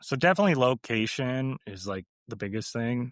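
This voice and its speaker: A man with an American accent uses a normal speaking voice at a moderate pace with fairly even intonation, in a very clean recording with a silent background and a dry, close sound with no echo. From US West Coast, Oregon. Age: 30s. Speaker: real estate investor. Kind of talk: interview. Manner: casual, many filler words.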